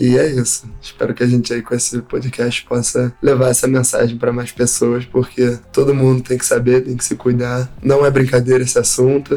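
A man with a medium-pitched voice speaks at a moderate pace in a monotone, flat intonation, with hardly any pauses and noticeable background noise. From Rio de Janeiro, Brazil. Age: 20s. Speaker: professional skimboard athlete. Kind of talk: interview testimony.

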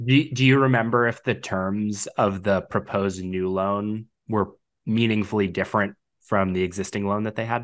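An unremarkable speaking voice from a man, fairly low in pitch, at a moderate pace with fairly even intonation over a quiet background. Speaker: finance podcast host and mock interviewer. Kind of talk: mock job interview.

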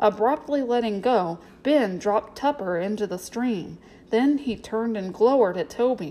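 The voice reads in an unforced way.

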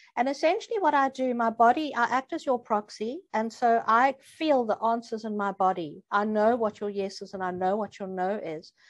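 In a quiet setting, a woman with an unremarkable speaking voice talks at a moderate pace, her fairly high pitch showing ordinary variation. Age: 60s. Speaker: energy healer. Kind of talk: interview.

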